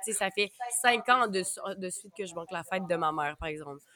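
Noticeable background noise under very fast speech and ordinary pitch variation. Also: woman. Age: 20s. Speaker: podcast host. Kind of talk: casual chat.

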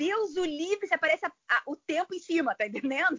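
A woman talks at a fairly quick pace. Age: 40s. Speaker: amateur ultramarathon runner. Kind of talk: casual interview.

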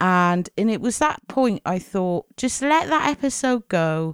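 A woman with a British accent speaks at a fairly slow pace, her pitch swinging very widely, on a very clean recording with a silent background. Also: dry, close sound with no echo. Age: 40s. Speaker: podcast host. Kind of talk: monologue podcast.

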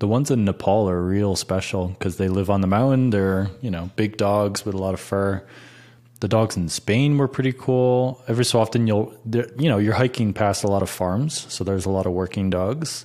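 A man with an American accent speaks at a fairly quick pace in a fairly low pitch, his tone dark and mellow, on a very clean recording with a silent background. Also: ordinary pitch variation. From upstate New York, Rochester. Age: 30s. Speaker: YouTuber and hiker. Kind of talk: casual chat.

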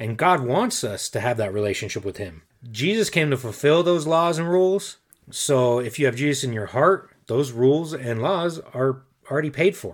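A man with an unremarkable speaking voice talks at a moderate pace, his fairly high pitch carried by lively intonation. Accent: American. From Colorado, US (Denver). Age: 40s. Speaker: podcast co-host. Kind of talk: personal testimony.

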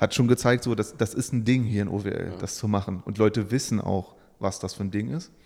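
This man speaks at a very fast pace with a medium pitch and ordinary pitch variation. His tone is dark and mellow, and the recording is very clean with a silent background. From eastern Germany, Saxony-Anhalt. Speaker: employer branding consultant. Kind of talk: podcast interview.

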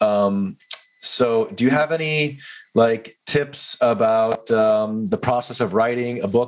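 In an ordinary speaking voice, a man at medium pitch speaks with lively intonation.

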